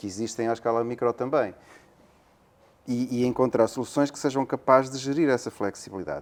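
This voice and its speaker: A man with a European Portuguese accent talks at a fairly quick pace in a medium-pitched voice, leaving long, frequent pauses and making big swings in loudness. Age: 60s. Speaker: academic, territorial planning expert. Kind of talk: interview. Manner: hesitant, with fillers.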